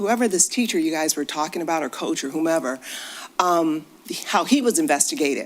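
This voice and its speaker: In an American accent, a woman speaks with a fairly low pitch and very wide pitch swings. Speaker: public commenter, local resident. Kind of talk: public comment at board meeting. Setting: school board meeting.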